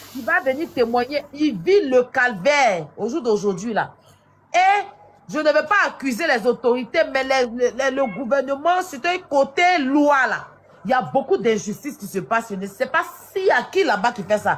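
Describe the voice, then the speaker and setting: The speaker has an Ivorian accent and a fairly slow pace. Background noise is noticeable. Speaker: live stream host. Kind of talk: casual live-stream discussion.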